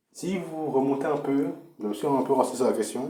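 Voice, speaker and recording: A man talks at a medium pitch. Room echo is audible. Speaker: political commentator. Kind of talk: political monologue. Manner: halting.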